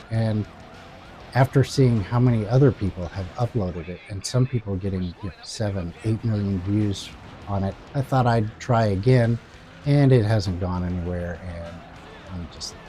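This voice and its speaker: Noticeable background noise sits behind a man with a fairly low pitch and ordinary pitch variation. He keeps a moderate pace, his loudness swinging widely. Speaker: gaming YouTuber. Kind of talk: casual vlog monologue. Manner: halting, many fillers.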